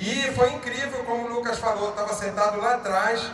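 Male speech delivered at a medium tempo, with audible reverberation from the room and noticeable noise behind it. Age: 50s. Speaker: network marketing leader. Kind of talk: motivational talk. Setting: stage with audience.

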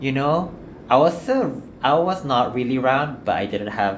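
Audible room echo surrounds a man as he speaks. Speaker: podcast co-host. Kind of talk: casual chat.

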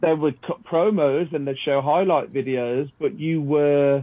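This man has a normal speaking voice with a fairly high pitch. He talks at a fairly slow pace with ordinary pitch variation. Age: 30s. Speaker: former wrestling referee. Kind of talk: casual chat.

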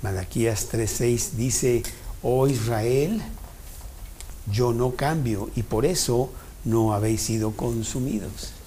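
With audible room echo around him, a man speaks at a very slow pace with long, frequent pauses, his medium pitch, fairly even intonation, very even loudness, and dark, mellow, somewhat breathy tone. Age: 70s. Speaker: Bible study teacher. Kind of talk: Bible study talk.

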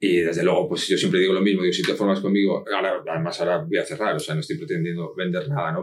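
A man talks at a very fast pace in a fairly low voice with a slight Asturian accent. His pitch varies in an ordinary way. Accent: slight northern Spanish (Asturian). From Spain (Madrid). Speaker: copywriter. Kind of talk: interview.

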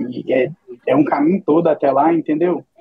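The speaker is a man. He delivers everything in a monotone, flat intonation. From Brazil, Minas Gerais. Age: 20s. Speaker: esports team owner. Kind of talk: casual interview.

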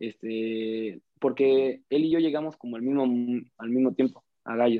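An ordinary speaking voice with fairly even intonation at a fairly slow pace. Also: man. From Mexico, Ciudad Juárez. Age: young. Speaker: footballer. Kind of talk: casual interview.

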